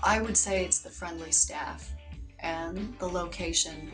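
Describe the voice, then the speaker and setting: A woman talks at a moderate pace. Behind her voice, clear music can be heard. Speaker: hostel manager. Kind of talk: interview answer. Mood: warm, promotional, upbeat. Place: home room.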